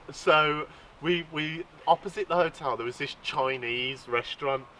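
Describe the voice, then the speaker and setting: At a fairly slow pace, a man with a British accent speaks in a fairly high voice with ordinary pitch variation. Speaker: fishing channel host. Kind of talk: casual podcast chat.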